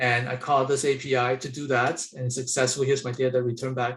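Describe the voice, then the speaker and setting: The man's fairly brisk delivery carries a slight breathiness. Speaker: software architect demonstrating his tool. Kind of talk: live software demo. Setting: webinar. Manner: fast.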